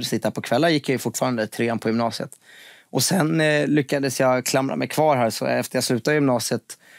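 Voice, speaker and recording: This man talks at a fairly quick pace with ordinary pitch variation and very even loudness. The background is quiet, and the sound is dry with no echo. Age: 20s. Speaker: finance TV presenter and investor; podcast guest. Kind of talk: casual interview. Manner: hesitant, many repetitions. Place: studio.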